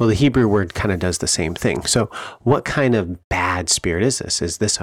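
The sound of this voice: The clip carries an unforced reading voice. That reading voice continues from start to finish.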